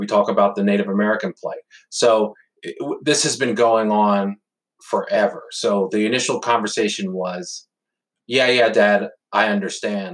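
A man with a normal speaking voice talks at a moderate pace and fairly low pitch, with ordinary pitch variation. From Pennsylvania. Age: 40s. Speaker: father. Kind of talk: casual interview conversation.

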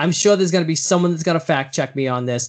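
Over a quiet background, a man with a fairly high pitch talks with lively intonation. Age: 50s. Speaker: podcast co-host. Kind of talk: casual chat. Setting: small closed room, remote recording.

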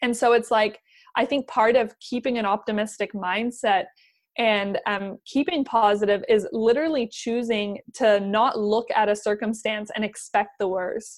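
In a very clean recording with a silent background, a woman with a plain, everyday voice speaks at a moderate pace, her fairly high pitch held to fairly even intonation. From Canada, German parents, moved around; New Zealand for 15 years. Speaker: business coach. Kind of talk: casual chat.

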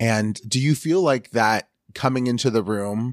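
Recorded very cleanly against a silent background, a man at medium pitch speaks with ordinary pitch variation in a dry, close sound with no echo. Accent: American. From Northern California (Sacramento). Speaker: podcast host and photographer. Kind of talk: casual interview chat.

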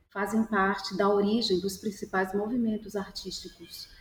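A woman speaks in a monotone, flat intonation over noticeable background noise. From Salvador, Bahia, Brazil. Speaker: artist. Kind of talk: panel discussion.

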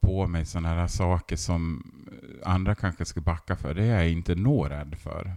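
On a very clean recording with a silent background, a man's very deep, low voice with a dark, mellow tone moves at a moderate pace with ordinary pitch variation, dry and close with no echo. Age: 40s. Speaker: textile teacher and artist. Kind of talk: interview.

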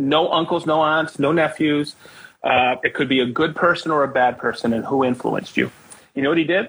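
This is an ordinary speaking voice from a man with a fairly high pitch and fairly even intonation. He talks at a fairly quick pace with very even loudness. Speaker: podcast host. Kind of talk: casual interview chat.

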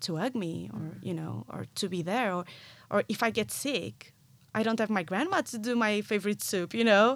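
A moderate pace in a Portuguese accent, on a very clean recording with a silent background. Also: woman. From Portugal, near Porto. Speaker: marketing professional in musical theatre. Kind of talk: casual interview. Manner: animated.

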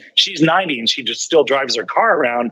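A man talks at a fairly quick pace in a bright, sharp tone. The sound is dry and close, with no echo. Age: 60s. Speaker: news anchor and private pilot. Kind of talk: interview. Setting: in his hangar.

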